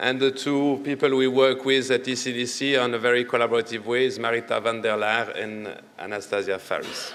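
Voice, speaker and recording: Noticeable background noise accompanies a man speaking with a French accent at a fairly quick pace. His intonation is fairly even, while his loudness swings widely. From Italian-speaking Switzerland. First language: not English (French/Italian). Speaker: medical doctor, public health researcher. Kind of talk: conference presentation. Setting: conference session. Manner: hesitant, with many fillers.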